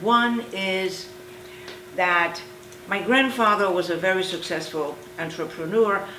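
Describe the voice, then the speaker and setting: A woman's very slow speech with ordinary pitch variation, amid audible room echo and noticeable background noise. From Poland. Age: 70s. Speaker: Holocaust survivor. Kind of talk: oral history interview.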